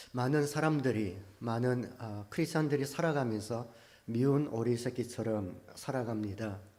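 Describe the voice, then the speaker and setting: A man talks at a medium pitch with ordinary pitch variation and a fairly slow pace. Audible room echo surrounds the voice. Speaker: pastor. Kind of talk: sermon. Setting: church. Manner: many filler sounds (아, 어). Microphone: good mic, speaking from a distance.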